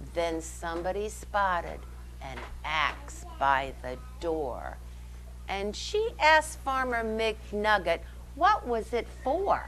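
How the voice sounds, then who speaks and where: Faint music plays behind a woman who speaks at a very slow pace. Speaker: storytime reader. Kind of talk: reading a picture book aloud. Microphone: lapel.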